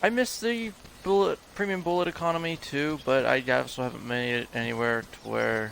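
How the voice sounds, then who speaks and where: Soft-spoken and fairly high-pitched, a man talks at a moderate pace with very wide pitch swings over noticeable background noise. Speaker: game streamer. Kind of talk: live gameplay commentary.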